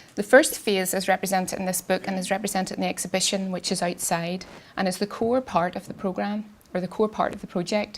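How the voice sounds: A woman speaks at a fairly quick pace with few pauses. Her medium pitch shows little movement.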